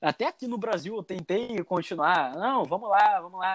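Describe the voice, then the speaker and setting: A high-pitched man with a Carioca accent and lively intonation at a fairly slow pace, in a dry, close sound with no echo. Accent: Carioca accent, kept. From Rio de Janeiro, Brazil. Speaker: former exchange student. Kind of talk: casual chat.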